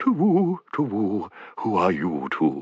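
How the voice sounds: In a put-on character voice, a soft-spoken man with a fairly low pitch talks at a fairly slow pace over a quiet background.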